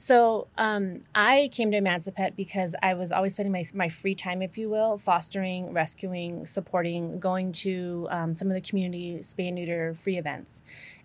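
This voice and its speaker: A woman's ordinary speaking voice in an American accent, medium in pitch, fairly even in intonation, at a moderate pace with hardly any pauses. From New Mexico, US. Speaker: animal welfare nonprofit worker. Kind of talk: casual interview.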